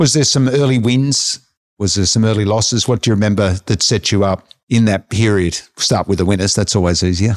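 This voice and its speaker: A man speaks in a normal speaking voice, fairly low-pitched, with ordinary pitch variation and very even loudness at a fairly quick pace. The recording is very clean, with a silent background. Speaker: interviewer, finance podcast host. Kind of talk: interview.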